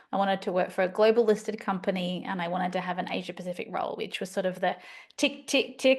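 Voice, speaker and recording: A woman speaks very fast with an Australian accent. Her pitch is medium, with ordinary variation. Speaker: life coach. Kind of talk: podcast interview.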